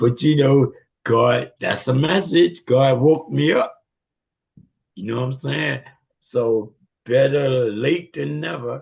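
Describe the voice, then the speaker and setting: A man speaks at a very slow pace, his pitch medium with ordinary variation. His voice is somewhat breathy, broken by long, frequent pauses. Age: 70s. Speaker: participant in men's fellowship group. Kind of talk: testimony. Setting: video call.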